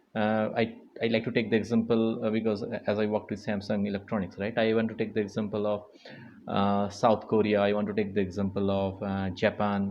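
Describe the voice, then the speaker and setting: A man with a Bengali accent speaks at a fairly quick pace in a fairly low pitch. His intonation is monotone and flat, and room echo is audible. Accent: Indian English, Bengali. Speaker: mentor, lecturer. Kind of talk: motivational lecture. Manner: halting, many fillers.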